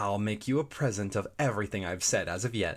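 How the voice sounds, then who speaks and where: Heard on a very clean recording with a silent background, a man talks in a plain, everyday voice with a fairly low pitch. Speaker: audiobook narrator. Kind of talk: audiobook reading of a classic children's story.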